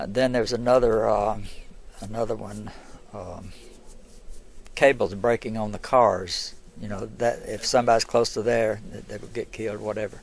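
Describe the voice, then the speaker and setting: Speaking in an Alabama accent, a man with a fairly low pitch talks at a moderate pace, keeping fairly even intonation but with big swings in loudness and long, frequent pauses. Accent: Southern US (Alabama). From US South. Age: 70s. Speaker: local historian and museum owner. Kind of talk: casual interview. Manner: halting.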